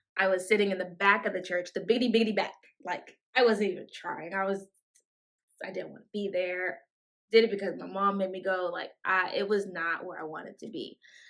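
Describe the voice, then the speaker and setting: Speaking at a fairly quick pace, a woman of medium pitch keeps a fairly even intonation while her loudness swings widely. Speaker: podcast host. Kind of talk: faith podcast monologue. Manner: stumbling, self-correcting; conversational, casual.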